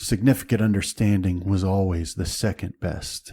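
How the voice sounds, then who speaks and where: A man puts on a character voice, pitched fairly low with fairly even intonation. The sound is dry and close, with no echo. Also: moderate pace. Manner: very serious.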